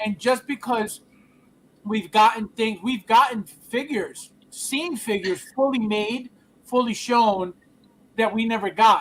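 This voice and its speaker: Loud and animated, a man speaks high-pitched at a fairly slow pace, with long, frequent pauses. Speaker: collectibles livestream host. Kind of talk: casual chat. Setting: livestream.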